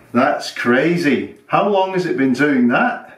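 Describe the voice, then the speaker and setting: A man talks at a moderate pace. The background is quiet, with audible room echo. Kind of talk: scripted comedy dialogue. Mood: deadpan, mock-serious. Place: kitchen.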